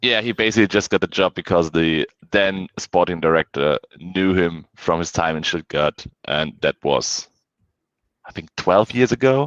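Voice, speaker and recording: Against a quiet background, a man with a German accent speaks at a very deep, low pitch, the sound dry and close with no echo. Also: ordinary pitch variation, moderate pace. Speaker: football fan guest. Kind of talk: casual chat. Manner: halting, many fillers.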